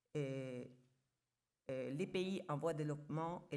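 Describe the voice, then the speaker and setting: A woman with a very deep, low voice at a moderate pace, plus audible room echo. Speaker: international organization official. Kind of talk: conference talk.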